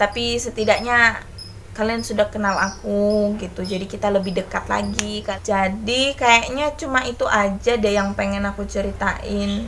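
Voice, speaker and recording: A woman talks at a moderate pace, hardly pausing, as noticeable background noise fills the clip. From Indonesia, Manado then Kalimantan. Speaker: vlogger and kindergarten teacher. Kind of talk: casual chat vlog. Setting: at home folding laundry.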